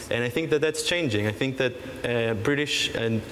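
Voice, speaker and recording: A man's medium-pitched voice with fairly even intonation, audible room echo and noticeable background noise. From Israel. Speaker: startup panelist. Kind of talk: panel discussion.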